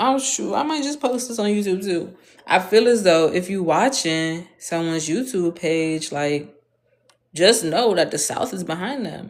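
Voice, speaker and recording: A woman talks at a medium pitch with an American accent. Her intonation is lively and her tone animated. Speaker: vlogger. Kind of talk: casual monologue.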